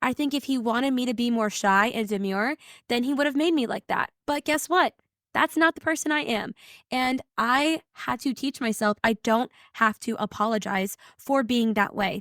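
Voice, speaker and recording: A loud, energetic voice with ordinary pitch variation, dry and close with no echo, on a very clean recording with a silent background. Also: woman, high pitch for a woman, moderate pace. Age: 20s. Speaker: podcast host. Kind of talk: casual monologue.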